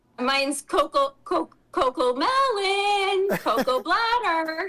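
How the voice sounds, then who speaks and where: A woman puts on a character voice at an extremely high pitch. She sounds sing-song and moves at a fairly slow pace. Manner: silly, singsong pet-talk voice.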